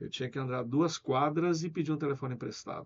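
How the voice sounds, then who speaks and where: A man's normal speaking voice at a fairly quick pace, with ordinary pitch variation. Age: 60s. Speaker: businessman. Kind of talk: interview.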